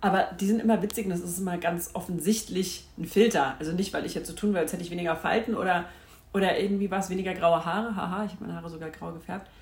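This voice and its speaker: Audible room echo surrounds a woman speaking at a very fast pace. Her pitch is medium, and her loudness swings widely. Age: 40s. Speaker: podcast host. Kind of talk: casual monologue. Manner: animated.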